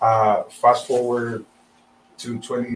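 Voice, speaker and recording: A man talks with a strong South American accent. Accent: thick South American Spanish. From Venezuela. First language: Spanish. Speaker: real estate agent. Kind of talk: interview.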